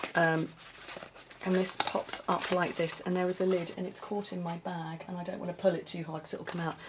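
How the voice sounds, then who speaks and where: A woman at a fairly quick pace in a monotone, flat delivery, amid noticeable background noise. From UK. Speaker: papercraft demonstrator and video host. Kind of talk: casual vlog chat showing crafts. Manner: chatty, hesitant with many ums and restarts.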